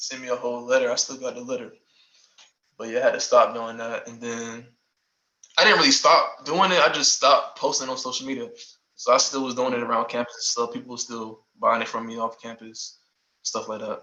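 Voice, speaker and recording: Long, frequent pauses mark the speech of a man with a Southern accent. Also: big swings in loudness. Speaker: former college athlete and clothing brand owner. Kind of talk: casual interview. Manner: halting, many fillers.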